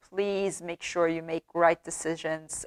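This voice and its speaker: With a non-native accent, a woman speaks fairly slowly in a fairly low, monotone, flat voice with a dry, close sound and no echo. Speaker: true crime YouTuber. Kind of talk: casual storytelling commentary. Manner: halting, many fillers.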